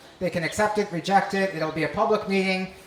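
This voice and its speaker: Noticeable background noise and audible room echo surround speech that moves at a fairly quick pace. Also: man. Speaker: government agency presenter. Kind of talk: public meeting presentation. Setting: community meeting hall. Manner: fast.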